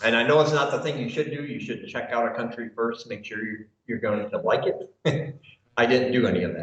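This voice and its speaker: A somewhat breathy man's voice in an American accent, medium in pitch with ordinary variation, at a fairly quick pace. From US Midwest, Michigan. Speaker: expat YouTuber, English teacher, military veteran. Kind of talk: interview.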